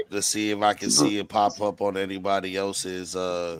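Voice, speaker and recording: A man's very deep, low voice at a moderate pace over noticeable background noise. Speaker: livestream host. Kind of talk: casual chat. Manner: loud. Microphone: laptop.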